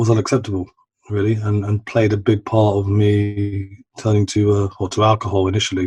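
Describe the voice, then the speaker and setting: Somewhat breathy, a man speaks at a fairly quick pace in a fairly low pitch with monotone, flat intonation. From East London, England. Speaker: recovering addict sharing his story. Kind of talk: personal testimony in podcast interview. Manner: halting, many repetitions and fillers.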